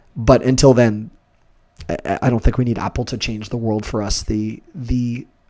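A man speaks at a medium pitch in a flat monotone. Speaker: consumer deals podcast host. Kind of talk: solo podcast monologue. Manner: fast talker; unscripted, off the cuff.

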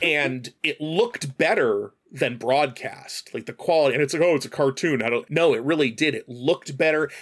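A man with an unremarkable speaking voice talks at a moderate pace with hardly any pauses, at a fairly high pitch with ordinary pitch variation. The sound is dry and close, with no echo. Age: 40s. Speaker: streamer and guest co-host. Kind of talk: casual chat. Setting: studio.

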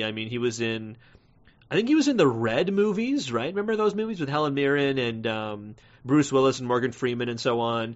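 A man's unremarkable speaking voice at medium pitch, with lively intonation and a fairly quick pace. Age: 30s. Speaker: movie podcast host. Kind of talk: casual solo review podcast.

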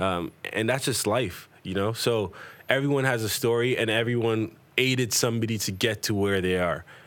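A man's fairly low-pitched, ordinary speaking voice, with ordinary pitch variation and a moderate pace. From Toronto, Canada (Jamaican family). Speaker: event promoter and talent booker. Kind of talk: casual interview.

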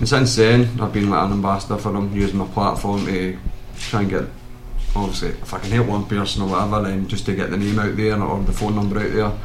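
Speaking very fast with a Lanarkshire accent, a man with fairly low pitch keeps a monotone, flat intonation over noticeable background noise. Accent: Lanarkshire Scottish. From Lanarkshire, Scotland. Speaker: mixed martial arts fighter. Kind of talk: casual chat.

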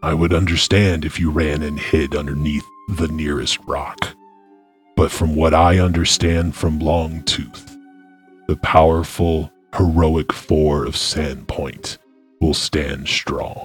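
This is a put-on character voice delivered at a fairly slow pace. Faint music plays in the background. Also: man, very deep, low pitch for a man. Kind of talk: fantasy roleplay. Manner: solemn, grave, formal.

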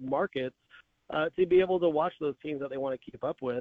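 Here is a plain, everyday voice from a man with an American accent. His pitch is fairly high and varies in an ordinary way. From North Texas. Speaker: media industry analyst. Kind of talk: interview.

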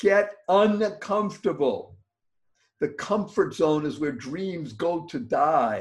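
A man talks at a very slow pace. His pitch is high, and his intonation is lively. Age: 70s. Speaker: motivational speaker and podcast host. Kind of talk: interview. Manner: animated.

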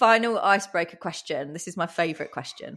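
A woman speaks with an English accent. Her intonation is lively. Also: very clean recording, silent background. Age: 40s. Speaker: podcast host, digital agency owner. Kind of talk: casual interview.

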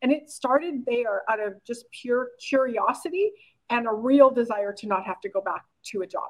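Her voice high-pitched and her intonation lively, a woman speaks with a Canadian accent. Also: moderate pace. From Canada, rural Saskatchewan. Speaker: online business coach. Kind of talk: interview.

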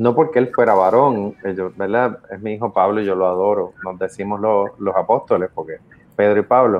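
This man has a normal speaking voice pitched fairly low. He talks at a moderate pace with fairly even intonation. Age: 50s. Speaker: podcast co-host. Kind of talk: casual chat.

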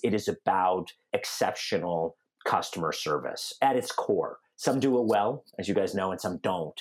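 A man speaks with a General American accent. His pace is moderate. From Denver, Colorado. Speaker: insurtech entrepreneur. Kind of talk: podcast interview. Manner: articulate.

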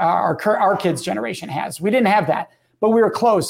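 A man is talking at a very fast pace. His pitch variation is ordinary. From Southern Wisconsin, US Midwest. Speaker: guest and speaker. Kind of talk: casual interview chat.

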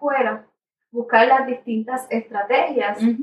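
A high-pitched woman's voice at a fairly slow pace. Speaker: elementary school teacher. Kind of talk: interview.

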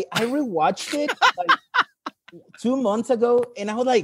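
A man talks at a moderate pace with a Spanish accent. His pitch varies in an ordinary way. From Mexico. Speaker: English teacher, caller. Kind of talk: casual chat. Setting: video call.

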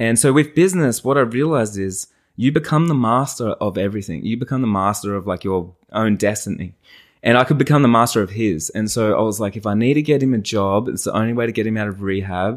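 With an Australian accent, a man speaks at medium pitch and a very fast pace, using ordinary pitch variation, on a very clean recording with a silent background. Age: 30s. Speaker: wedding photographer and business owner. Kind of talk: casual interview chat. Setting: in the host's lounge room.

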